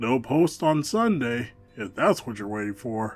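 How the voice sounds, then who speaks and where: A man's put-on character voice at a medium pitch, with lively intonation and a moderate pace, over faint music in the background. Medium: read story. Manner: warm, gently knowing.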